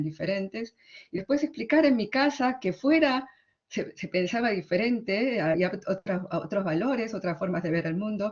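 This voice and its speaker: A woman talks in an Argentine accent at a moderate pace. Her intonation is lively. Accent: Argentine Spanish, fully. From Argentina. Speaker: literary translator and academic. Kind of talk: conference talk. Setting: conference. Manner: hesitant, with fillers.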